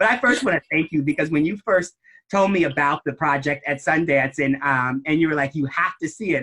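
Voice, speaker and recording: A man's bright, sharp, fairly high-pitched voice at a fairly quick pace, with ordinary pitch variation and a dry, close sound with no echo. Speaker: interviewer for an advocacy group's series. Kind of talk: live interview. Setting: video call.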